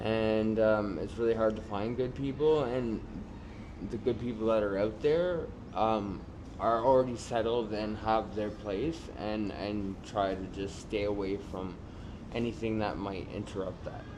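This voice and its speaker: A speaker with a Canadian accent talks at a fairly slow pace with ordinary pitch variation. Audible room echo can be heard. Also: man, fairly low pitch for a man. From Canada, Toronto area. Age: 30s. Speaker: homeless man with addiction. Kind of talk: documentary interview. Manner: hesitant, many fillers.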